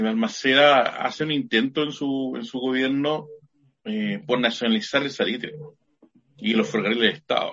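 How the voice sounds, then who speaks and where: Medium in pitch with ordinary pitch variation, a man talks in an unremarkable speaking voice. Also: moderate pace. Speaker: high school teacher and podcast co-host. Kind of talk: casual chat.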